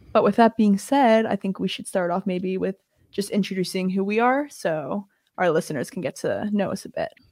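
In a normal speaking voice, a woman talks at a fairly quick pace and medium pitch with ordinary pitch variation, her sound dry and close with no echo on a very clean recording over a silent background. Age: 20s. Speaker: podcast co-host, university student. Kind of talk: casual chat.

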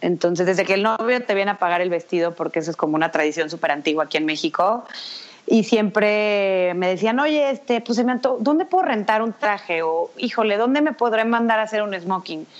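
A woman with a normal speaking voice talks at a fairly quick pace and medium pitch, her intonation lively. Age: 30s. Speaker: fashion stylist and bridal shop founder. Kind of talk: interview.

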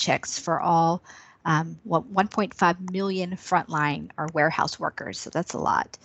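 At a moderate pace, a woman with a normal speaking voice talks at medium pitch with ordinary pitch variation. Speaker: senior manager. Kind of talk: professional interview discussion. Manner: filler-heavy.

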